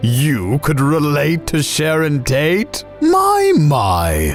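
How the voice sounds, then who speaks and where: A man puts on a cartoonish character voice with a fairly high pitch at a very slow pace. Clear music plays in the background. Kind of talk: comedy puppet show movie review. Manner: condescending, scornful.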